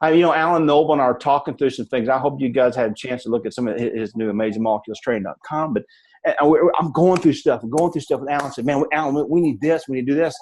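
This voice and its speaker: Mumbling at a very fast pace with hardly any pauses, a man with a Southern US accent uses a fairly high pitch and ordinary pitch variation. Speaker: network marketing leader. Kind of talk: motivational talk on a team call. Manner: fast, mumbling; halting, repetitive.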